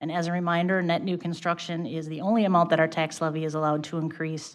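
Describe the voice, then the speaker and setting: At a very fast pace, a woman talks in a fairly low pitch. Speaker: city finance official. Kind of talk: budget presentation at council meeting. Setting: city council meeting.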